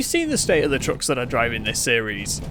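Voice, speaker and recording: A man's pitch swings very widely while noticeable background noise runs underneath. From Manchester, England. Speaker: gaming streamer. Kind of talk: live gameplay commentary. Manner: halting, pauses mid-sentence; casual, chatty.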